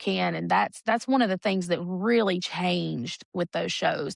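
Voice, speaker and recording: The sound is dry and close with no echo as a woman speaks at a moderate pace against a quiet background. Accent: Southern. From Alabama, Warrior. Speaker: singer and TV talent show contestant. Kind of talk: interview. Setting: studio.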